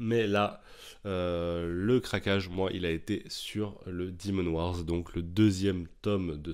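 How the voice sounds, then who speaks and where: A man's very deep, low voice moves at a very slow pace. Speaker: comics YouTuber. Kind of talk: casual solo video monologue. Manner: casual, chatty, hesitant with fillers.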